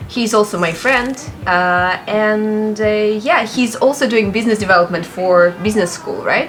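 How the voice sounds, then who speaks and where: Fairly high-pitched female voice at a moderate pace, with ordinary pitch variation and music in the background. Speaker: interviewer, presenter. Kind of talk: casual interview questions.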